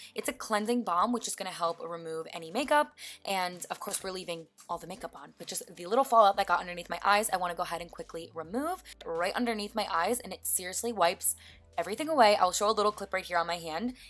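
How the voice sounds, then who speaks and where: Speaking very fast in an upbeat tone, a woman with a medium-pitched voice shows ordinary pitch variation and big swings in loudness. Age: 20s. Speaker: beauty vlogger. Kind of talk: makeup tutorial voiceover. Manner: casual, upbeat.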